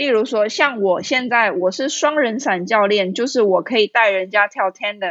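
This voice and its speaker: A woman with a fairly high pitch talks at a moderate pace with ordinary pitch variation and hardly any pauses. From Taiwan, Kaohsiung. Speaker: skydiving instructor. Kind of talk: interview.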